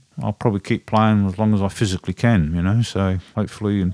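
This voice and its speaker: A dark, mellow tone with an Australian accent at a very fast pace, dry and close with no echo, on a very clean recording with a silent background. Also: man. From South Australia, Adelaide. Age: 60s. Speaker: drummer and live audio engineer. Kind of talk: casual interview chat.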